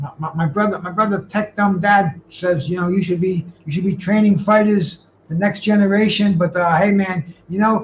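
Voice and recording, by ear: A man at high pitch, moderate pace, few pauses and fairly even intonation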